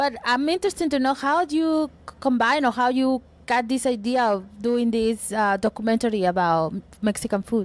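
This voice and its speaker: A woman with a Spanish accent speaks at a high pitch and a moderate pace. Her intonation is lively, and her loudness stays very even. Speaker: entertainment interviewer. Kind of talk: interview.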